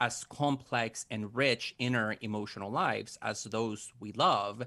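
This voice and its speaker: A man's medium-pitched voice, bright and sharp in tone, at a fairly slow pace in a very clean recording with a silent background. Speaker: professor. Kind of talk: interview.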